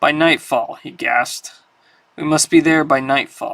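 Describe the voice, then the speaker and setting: In a very clean recording with a silent background, a man does a raspy put-on character voice at a fairly high pitch and moderate pace, with big swings in loudness. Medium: read story. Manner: terse.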